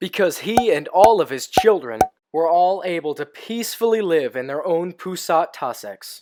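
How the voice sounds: Lively intonation in a natural reading voice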